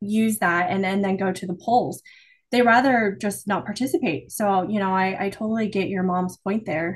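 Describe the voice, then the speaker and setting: At a moderate pace, a woman speaks at medium pitch with ordinary pitch variation and a somewhat breathy quality. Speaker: podcast co-host. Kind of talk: casual interview chat.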